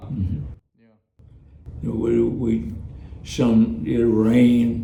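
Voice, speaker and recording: Lively intonation colors a man's speech in a Texas accent. His pitch is medium. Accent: Southern US (Texas). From East Texas. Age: 80s+. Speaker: former plantation field worker. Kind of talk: interview answer.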